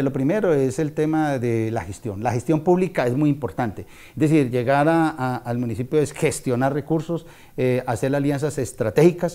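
Moderate pace and ordinary pitch variation in a man's dark, mellow tone. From Colombia, Valle del Cauca (Tuluá); Valle del Cauca, Colombia. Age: 50s. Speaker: local politician, mayoral pre-candidate; local politician, candidate. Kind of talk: interview. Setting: at a private home. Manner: hesitant, with frequent fillers. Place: home room. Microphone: lapel.

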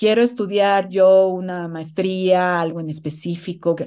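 Here a woman talks at a fairly slow pace. The background is quiet. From Mexico. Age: 40s. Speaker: guest sharing motherhood story; guest. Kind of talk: personal testimony. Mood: open, personal, animated. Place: home room. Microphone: video call.

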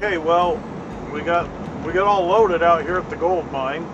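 With music in the background, the man keeps a moderate pace. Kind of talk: casual vlog chat. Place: car. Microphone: phone near.

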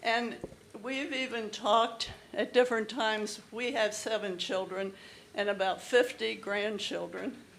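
Audible room echo surrounds a woman speaking at a fairly slow pace. Her pitch is medium and her intonation fairly even. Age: 80s+. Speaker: resident speaking at public comment. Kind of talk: public comment at council meeting. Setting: council chamber with audience. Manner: halting.

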